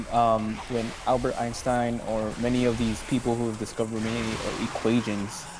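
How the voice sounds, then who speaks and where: Noticeable background noise sits behind a man's voice. He speaks at a fairly slow pace with monotone, flat intonation. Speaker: gamer. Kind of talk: casual chat. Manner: halting.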